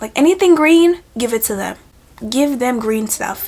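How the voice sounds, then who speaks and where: Noticeable background noise surrounds a woman talking in a high pitch. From US, Haitian-born Caribbean family. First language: Haitian Creole or French. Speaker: lifestyle vlogger. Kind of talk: casual talk while doing makeup.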